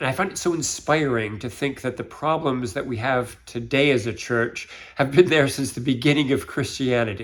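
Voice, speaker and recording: A man's unremarkable speaking voice with an American accent, medium in pitch with ordinary variation, at a fairly quick pace on a very clean recording with a silent background. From United States. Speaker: church finance volunteer. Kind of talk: interview.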